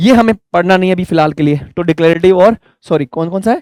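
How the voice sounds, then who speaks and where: A man's high-pitched voice with ordinary pitch variation, in a dry, close sound with no echo. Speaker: English teacher. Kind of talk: lecture. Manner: fast; loud.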